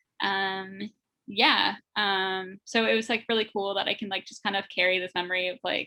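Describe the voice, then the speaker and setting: Here a woman talks at a moderate pace and medium pitch. She has a normal speaking voice. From Windsor, Ontario, Canada. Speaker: roller derby skater. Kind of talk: casual interview.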